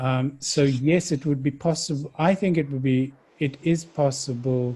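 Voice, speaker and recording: A somewhat breathy man's voice at medium pitch, dark and mellow in tone, at a fairly slow pace. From South Africa. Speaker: dialogue facilitator. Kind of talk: interview. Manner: halting.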